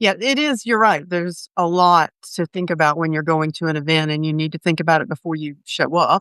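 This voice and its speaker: A woman with a Southern US accent, fairly low pitch, ordinary pitch variation and moderate pace, in a dry, close sound with no echo over a quiet background. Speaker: travel industry executive. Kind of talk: interview podcast.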